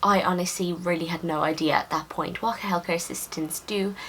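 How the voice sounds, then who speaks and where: A woman's fairly low voice in a Dublin accent, flat and monotone, at a moderate pace over noticeable background noise. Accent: Irish (Dublin). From Ireland, Dublin. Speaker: nursing student vlogger. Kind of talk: casual Q&A vlog.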